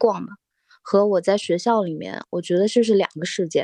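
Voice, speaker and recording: The recording is dry and close, without any echo. A woman does the talking. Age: 30s. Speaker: former architect now art student. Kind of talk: casual chat.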